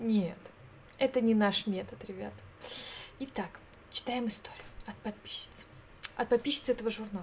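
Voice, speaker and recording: Woman's fairly high-pitched voice at a moderate pace, broken by long, frequent pauses. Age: 30s. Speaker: streamer. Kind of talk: casual chat. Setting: live stream. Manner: animated.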